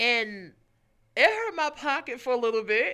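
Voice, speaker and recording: A man's raised, projected voice, bright and sharp in tone, at a moderate pace. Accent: American. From Brooklyn, New York. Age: 30s. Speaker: photographer. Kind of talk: interview. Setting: studio.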